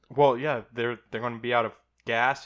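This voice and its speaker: A man with a Midwestern American accent talks at a fairly quick pace. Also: quiet background. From Ohio. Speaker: podcast co-host. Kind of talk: casual chat. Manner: trips over words.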